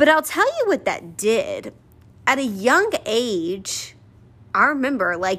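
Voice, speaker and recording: In a very clean recording with a silent background, a woman speaks loudly in a bright, sharp, animated tone. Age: 20s. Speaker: faith-based podcast host. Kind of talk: motivational monologue.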